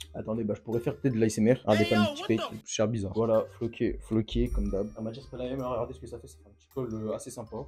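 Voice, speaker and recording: A man at medium pitch and very fast pace, big swings in loudness, music in the background. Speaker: youtuber. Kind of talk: unboxing video. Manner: animated.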